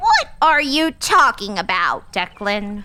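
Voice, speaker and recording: A woman puts on a high-pitched character voice with very wide pitch swings. She speaks at a fairly slow pace. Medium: read story. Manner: bright, naive.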